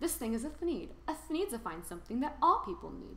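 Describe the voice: A woman puts on a character voice, high-pitched with big pitch swings. Her tone is bright and sharp, and she talks at a fairly quick pace.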